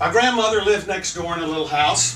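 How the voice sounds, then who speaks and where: A man speaks in a raised, projected voice at a high pitch, with lively intonation and a moderate pace. Noticeable background noise and audible room echo fill the recording. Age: 60s. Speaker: storyteller at live event. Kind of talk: live storytelling.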